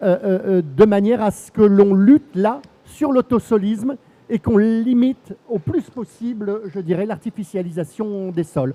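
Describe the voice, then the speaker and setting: A man with a high pitch talks at a fairly slow pace. His tone is dark and mellow, and the sound is dry and close with no echo. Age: 60s. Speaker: senator. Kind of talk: panel discussion. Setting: stage with audience. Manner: hesitant, many fillers.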